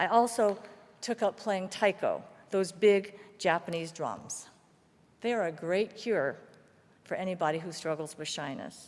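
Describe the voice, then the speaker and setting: An American accent at a fairly slow pace, with ordinary pitch variation and long, frequent pauses. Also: woman, medium pitch for a woman. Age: 60s. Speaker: guest preacher and activist. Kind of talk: sermon.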